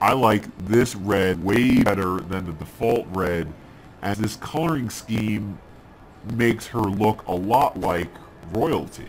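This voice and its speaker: Fairly low-pitched man at a very slow pace, ordinary pitch variation, noticeable background noise. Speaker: gaming video host. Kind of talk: game commentary.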